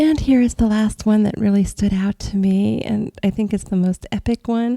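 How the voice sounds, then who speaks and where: A woman speaks in a somewhat breathy voice. The sound is dry and close, with no echo. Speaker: astral travel podcaster. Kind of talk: casual podcast monologue.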